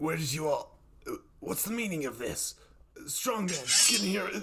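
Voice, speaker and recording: A man puts on a character voice with a high pitch and lively intonation. He talks at a moderate pace. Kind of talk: showman barker patter. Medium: audio drama. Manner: menacing, condescending, greedy.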